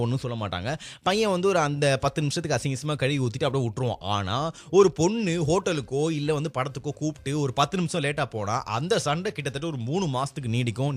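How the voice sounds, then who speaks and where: Here a man speaks at a fairly high pitch. His voice is somewhat breathy. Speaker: radio jockey. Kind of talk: casual radio-style talk to camera.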